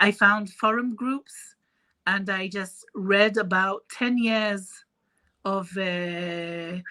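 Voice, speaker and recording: A woman with a French accent, very slow, at medium pitch, her intonation fairly even and her tone bright and sharp. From Israel. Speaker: face painter and artist. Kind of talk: interview. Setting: live stream video call.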